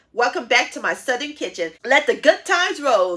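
The speaker is a woman. Nothing much can be heard behind her. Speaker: home cooking channel host. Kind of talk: cooking show intro. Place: home room.

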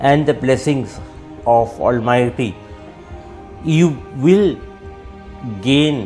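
With faint music in the background, a man speaks very slowly, his pitch varying an ordinary amount. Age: 40s. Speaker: radio jockey, actor, author. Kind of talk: interview answer. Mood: grateful, hopeful.

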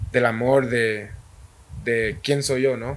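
This man talks at a very slow pace. His pitch is medium with ordinary variation. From Guatemala, Guastatoya. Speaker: professional footballer. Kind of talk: interview. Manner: halting.

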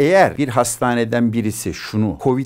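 Against a quiet background, a man with vocal fry talks at a moderate pace. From Turkey. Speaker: physician and former senior health official; guest. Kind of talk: interview. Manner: animated. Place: studio. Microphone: lapel.

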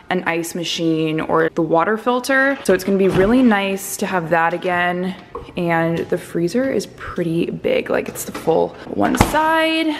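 There is noticeable background noise. A woman speaks at a fairly slow pace. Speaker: vlogger. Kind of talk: casual vlog chat. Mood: excited, pleased. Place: kitchen. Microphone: phone near.

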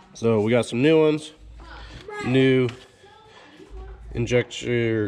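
Background noise is noticeable throughout. The delivery is very slow. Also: man. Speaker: DIY truck mechanic video host. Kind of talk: casual how-to vlog.

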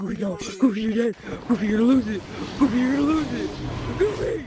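Over clear background noise, a man does a put-on character voice at an extremely high pitch and a very fast pace. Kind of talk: excited gameplay shouting. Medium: game stream. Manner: shouting, taunting. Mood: taunting, shouting.

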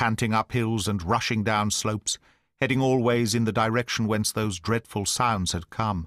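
Natural-voiced reading aloud, the intonation fairly even

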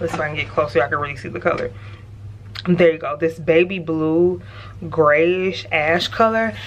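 A woman in an animated tone with lively intonation, moderate pace, long, frequent pauses, big swings in loudness and light background noise. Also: fairly low pitch for a woman. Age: 20s. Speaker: lifestyle vlogger. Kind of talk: casual vlog talk to camera. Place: home room. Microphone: phone near.

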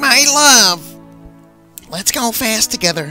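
A man puts on a character voice, high-pitched and fairly slow, with faint music in the background. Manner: breathless, giddy.

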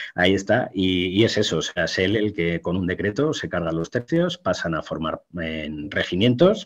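A man's fairly low voice at a moderate pace, with ordinary pitch variation, hardly any pauses and a quiet background. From Spain. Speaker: military historian; guest. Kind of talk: interview talk on history. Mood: relaxed, explanatory. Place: home room. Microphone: webcam.

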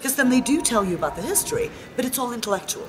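Woman's voice with very wide pitch swings amid noticeable background noise. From Sweden, Stockholm. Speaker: spiritual travel participant. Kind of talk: interview. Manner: animated. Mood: warm, enthusiastic.

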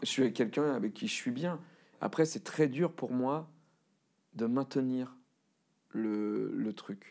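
A man speaks over a quiet background. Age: 40s. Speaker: cartoonist and voice actor. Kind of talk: interview answer. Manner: casual, self-deprecating. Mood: candid, self-deprecating, personal. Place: studio.

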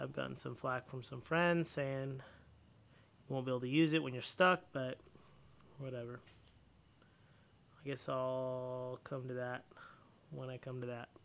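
At a moderate pace and with fairly even intonation, a man talks with long, frequent pauses over light background noise. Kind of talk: casual vlog chat. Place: garage. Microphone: phone near.

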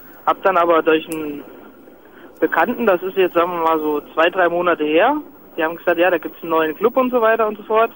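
Recorded dry and close with no echo, a man with a high voice talks at a fairly quick pace with ordinary pitch variation. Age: 20s. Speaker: truck driver. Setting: in a car, hands-free.

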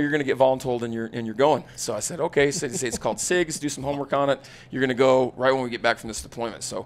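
In an American accent, the speaker races at a very fast pace with hardly any pauses and big swings in loudness. The tone is energetic and animated. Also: man. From Utah, south of Salt Lake City. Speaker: firearms instructor, former special forces soldier. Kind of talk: casual interview chat. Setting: live at a hunting expo. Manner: energetic, animated. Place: studio. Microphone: studio mic.

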